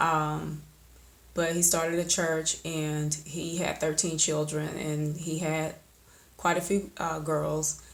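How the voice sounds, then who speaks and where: A woman with an Alabama accent, very deep and low in pitch, flat and monotone, at a fairly slow pace, with audible room echo. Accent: Southern US (Alabama). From US South, Alabama (Oxford area). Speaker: poet, video creator. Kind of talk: personal vlog monologue. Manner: casual, with frequent fillers.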